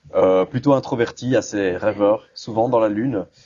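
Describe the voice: The man's voice has a dark, mellow tone and a fairly low pitch.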